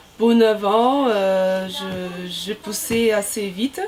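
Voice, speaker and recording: Against noticeable background noise, a woman talks at a fairly high pitch with fairly even intonation. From Brazil. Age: 30s. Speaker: volleyball player, team captain. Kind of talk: interview. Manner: halting, many hesitations.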